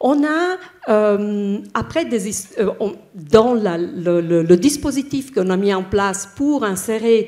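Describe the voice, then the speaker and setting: Very slowly, a woman with an Italian accent speaks in a fairly high pitch, with a dark, mellow tone and lively intonation. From Italy. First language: Italian (speaking French). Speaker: bank HR director, panelist. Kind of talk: panel discussion. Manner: halting, many hesitations.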